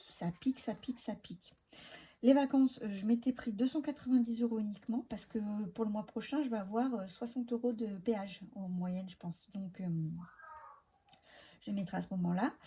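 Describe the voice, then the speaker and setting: Soft-spoken and somewhat breathy, a woman talks at a moderate pace with long, frequent pauses and big swings in loudness. Her fairly high pitch carries ordinary variation and a dark, mellow tone. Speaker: budget vlogger. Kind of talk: casual vlog talk. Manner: hesitant, many filler sounds.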